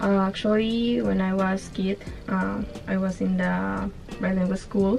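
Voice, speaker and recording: Music plays in the background as a woman speaks at a fairly slow pace. Her loudness stays very even. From Honduras. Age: 20s. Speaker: cruise ship hotel cleaner. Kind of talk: interview. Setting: on a cruise ship. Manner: halting.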